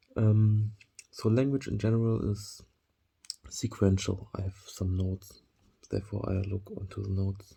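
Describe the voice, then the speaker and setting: Speaking at a moderate pace with a German accent, a man has a dark, mellow, somewhat breathy tone, monotone, flat intonation, and long, frequent pauses. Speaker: vlogger. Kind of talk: monologue to camera. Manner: halting, many fillers.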